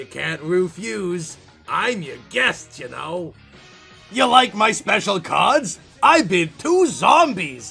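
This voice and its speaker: Faint music plays behind a man doing a put-on character voice, high-pitched and at a fairly slow pace. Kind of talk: horror comic reading. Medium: audio drama. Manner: gloating, mocking, theatrical.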